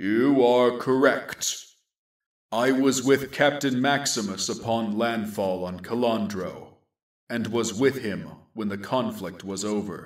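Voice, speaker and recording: A man's put-on character voice at a medium pitch and fairly slow pace. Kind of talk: grim sci-fi war narration. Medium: audio drama. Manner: measured, solemn.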